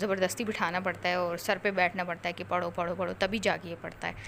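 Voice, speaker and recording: Speaking at a moderate pace with hardly any pauses, a woman uses a medium-pitched voice. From Pakistan. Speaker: vlogger, mother. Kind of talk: vlog voice-over. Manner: casual, halting.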